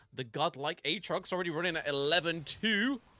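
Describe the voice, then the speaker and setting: A man with a strong British accent speaks in a bright, sharp tone at a moderate pace. His voice carries vocal fry. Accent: strongly British, stereotypical British. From Britain. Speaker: esports caster.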